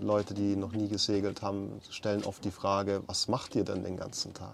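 Here is a normal speaking voice moving at a moderate speed. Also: man. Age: 30s. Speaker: podcast host, electrical engineer. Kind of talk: casual chat. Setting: on a sailboat.

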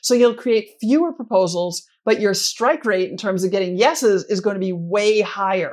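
A woman uses an ordinary speaking voice at a medium pitch and a moderate pace. Her intonation is lively, and she hardly pauses. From US Midwest, Minnesota. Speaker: sponsorship consultant. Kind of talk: interview.

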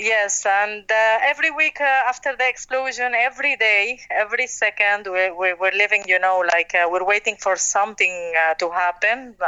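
A woman speaks with a Lebanese accent. She leaves hardly any pauses. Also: ordinary pitch variation, moderate pace, very even loudness. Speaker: restaurant owner. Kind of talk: interview.

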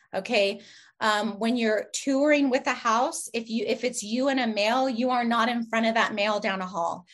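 A woman speaks in an ordinary speaking voice at a fairly high pitch with ordinary pitch variation. Her loudness stays very even at a moderate pace against a quiet background. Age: 40s. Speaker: real estate agent. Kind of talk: interview.

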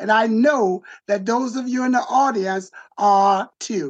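Here a man talks at a high pitch. His pace is fairly slow. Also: ordinary pitch variation.

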